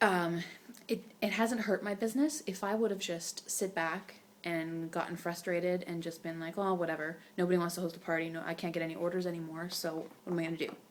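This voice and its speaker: A soft-spoken woman with a fairly low pitch, a fairly quick pace and fairly even intonation. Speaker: direct sales consultant vlogger. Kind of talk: casual vlog talk. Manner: quiet, soft-spoken; rambling, many fillers.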